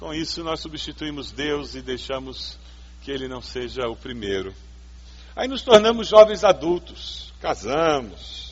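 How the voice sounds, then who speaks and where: Speaking at a fairly slow pace, a man's voice shows big swings in loudness amid audible room echo. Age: 50s. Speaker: pastor. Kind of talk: sermon.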